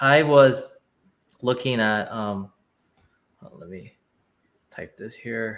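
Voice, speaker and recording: A man speaks very slowly with a Chinese accent, leaving long, frequent pauses. His loudness swings widely while his pitch varies in an ordinary way. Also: medium pitch for a man. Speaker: company founder. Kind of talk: casual livestream chat. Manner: halting, repeats words.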